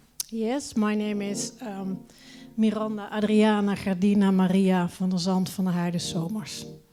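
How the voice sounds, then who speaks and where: Over music in the background, a woman talks at a moderate pace with fairly even intonation, and the room echo is audible. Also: medium pitch for a woman. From Netherlands, Eindhoven. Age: 50s. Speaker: audience member interviewed. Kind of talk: casual interview. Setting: theater with audience. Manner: halting.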